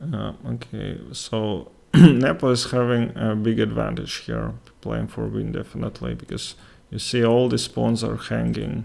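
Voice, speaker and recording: A man with a Latvian accent speaks at a fairly slow pace. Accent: Russian-speaking Latvian accent in English. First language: Russian. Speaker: chess streamer and commentator. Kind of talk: live game commentary with chat. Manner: halting, many fillers.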